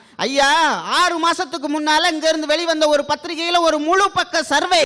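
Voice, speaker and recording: With a raised, projected voice, the man speaks at an extremely high pitch in a bright, sharp tone. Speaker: radio jockey and debate speaker. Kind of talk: comic stage debate speech. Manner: energetic.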